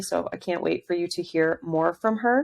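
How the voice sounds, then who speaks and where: An animated woman at medium pitch with ordinary pitch variation, in a very clean recording with a silent background. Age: 30s. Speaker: podcast host. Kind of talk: casual chat. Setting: home basement studio. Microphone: sound a little odd, cutting in and out.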